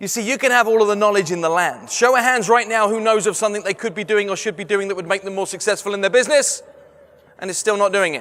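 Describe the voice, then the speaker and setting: Talking at a very fast pace, a man with an English accent sounds animated, his pitch high. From London, England. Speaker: sales trainer and motivational speaker. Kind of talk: keynote talk. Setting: stage with audience.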